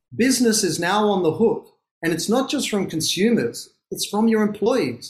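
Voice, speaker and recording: A man with an Australian accent speaks at a high pitch. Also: lively intonation, moderate pace. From Australia, Sydney. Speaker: author and business founder. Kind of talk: interview.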